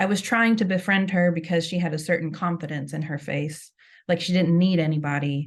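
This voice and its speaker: A woman with a fairly low, somewhat breathy voice speaks at a moderate pace with ordinary pitch variation. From Kentucky. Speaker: writer. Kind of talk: reading aloud.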